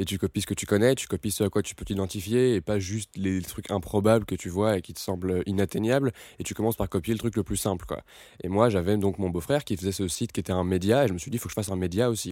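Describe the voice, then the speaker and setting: A dark, mellow voice at a very fast pace, with a dry, close sound with no echo on a very clean recording with a silent background. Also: man, fairly low pitch for a man. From France, Paris. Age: 20s. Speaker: entrepreneur. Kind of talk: interview. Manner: casual, halting with repetitions.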